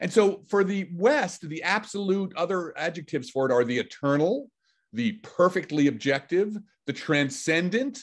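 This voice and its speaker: An American-accented man at a moderate pace, high in pitch, with lively intonation. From New York City. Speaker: physicist. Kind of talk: lecture.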